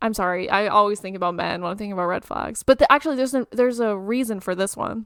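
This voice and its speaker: At a very fast pace with hardly any pauses, a woman speaks in an animated tone, with big swings in loudness and ordinary pitch variation. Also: medium pitch for a woman. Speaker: podcast co-host. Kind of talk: casual chat.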